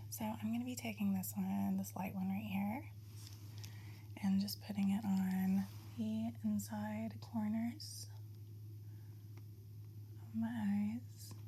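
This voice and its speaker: The delivery is monotone and flat, with a relaxed tone at a very slow pace. Long, frequent pauses break it up against noticeable background noise. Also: woman, very deep, low pitch for a woman. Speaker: ASMR artist running an ASMR spa. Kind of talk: casual soft-spoken talk to camera, get ready with me. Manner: soft-spoken, relaxed, chatty.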